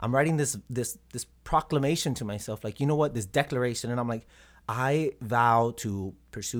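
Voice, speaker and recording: In a very clean recording with a silent background, a man with an American accent and a normal speaking voice speaks at medium pitch and a moderate pace, with ordinary pitch variation. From South Texas, Robstown near Corpus Christi. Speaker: visual artist. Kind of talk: casual interview.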